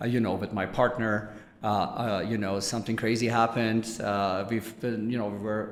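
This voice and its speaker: A man talks very fast in a fairly low, monotone voice with flat intonation. Noticeable background noise and audible room echo are present. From Germany. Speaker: business executive. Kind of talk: interview.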